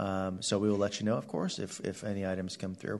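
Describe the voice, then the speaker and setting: An ordinary speaking voice from a man, fairly low in pitch, at a fairly quick pace with fairly even intonation. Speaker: planning department director. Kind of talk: formal public meeting staff report. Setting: public hearing room.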